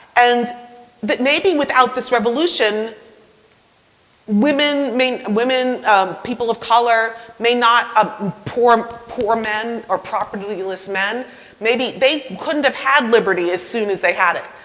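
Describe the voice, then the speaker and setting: A woman speaks at a fairly high pitch. Background noise is noticeable. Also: ordinary pitch variation, fairly slow pace. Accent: slight New York. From New York. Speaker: university professor of history. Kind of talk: public lecture; audience Q&A. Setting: talk with live audience, mic. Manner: conversational, with hesitations and restarts.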